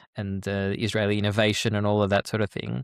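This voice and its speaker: On a very clean recording with a silent background and a dry, close sound with no echo, a man speaks at a fairly quick pace in a fairly low voice. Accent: Australian. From Australia. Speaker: peace educator and author. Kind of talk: interview. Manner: halting, repeats words.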